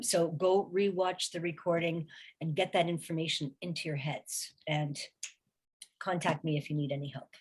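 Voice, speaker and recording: A woman speaks at a fairly low pitch, somewhat breathy. Her intonation is fairly even and her pace moderate. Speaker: recruiting specialist and career strategist, author. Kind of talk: webinar presentation. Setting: online webinar.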